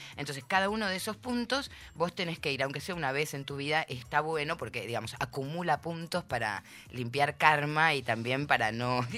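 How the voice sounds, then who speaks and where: In a very deep, low voice with a bright, sharp tone, a woman speaks at a moderate pace with lively intonation. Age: 50s. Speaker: interview guest. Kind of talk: casual chat.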